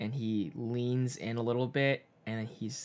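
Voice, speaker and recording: The speaker is a man with an unremarkable speaking voice. His pitch is medium and his intonation fairly even. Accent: American. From Chinese American, US. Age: 20s. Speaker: podcast co-host. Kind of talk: casual chat.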